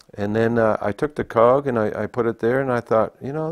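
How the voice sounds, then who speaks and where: At a fairly quick pace and medium pitch, a man talks with ordinary pitch variation in a dry, close sound with no echo and a quiet background. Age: 60s. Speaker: folk artist and welder. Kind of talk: interview. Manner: halting.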